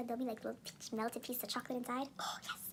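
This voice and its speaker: Animated in tone, a woman speaks at a high pitch. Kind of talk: casual vlog talk to camera. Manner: fast.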